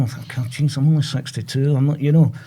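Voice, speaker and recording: Speaking at a moderate pace with a Glasgow accent, a man has a fairly high pitch and a dark, mellow, somewhat breathy tone. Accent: Scottish (Glasgow). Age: 60s. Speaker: prostate cancer patient. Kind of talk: testimony. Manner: halting.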